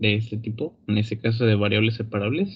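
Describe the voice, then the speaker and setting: The man speaks at a medium pitch. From Matamoros, Tamaulipas, Mexico. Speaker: student. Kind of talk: class discussion. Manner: talkative, verbose; halting.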